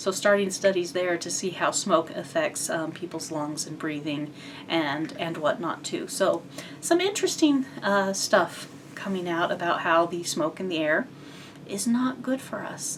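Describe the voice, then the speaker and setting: Over noticeable background noise, a woman speaks at a moderate pace and a fairly low pitch with ordinary pitch variation. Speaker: cross-stitch vlogger. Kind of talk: casual chat. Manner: hesitant with fillers.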